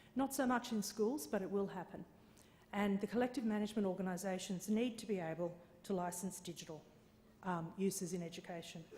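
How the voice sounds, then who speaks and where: A woman speaks at medium pitch with an Australian accent, her tone dark and mellow and somewhat breathy. She talks at a fairly quick pace with ordinary pitch variation, and room echo is audible. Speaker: conference speaker on copyright licensing. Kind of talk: conference presentation. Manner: hesitant with fillers.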